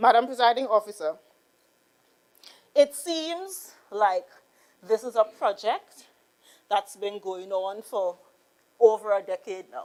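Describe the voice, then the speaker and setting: A woman with a Trinidadian accent speaks fairly slowly in a fairly high voice with lively intonation. She leaves long, frequent pauses, and her loudness swings widely. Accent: Trinidad and Tobago English. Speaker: politician. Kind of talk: parliamentary debate. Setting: legislative chamber. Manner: slow, deliberate; formal.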